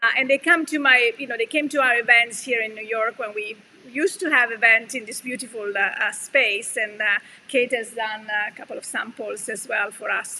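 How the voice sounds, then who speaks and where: A woman speaks with an Italian accent in a fairly high pitch. Her loudness swings widely while her pitch varies in an ordinary way. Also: moderate pace. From Italy. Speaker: yarn company owner and channel host. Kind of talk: casual chat. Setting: live stream. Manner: hesitant, many fillers.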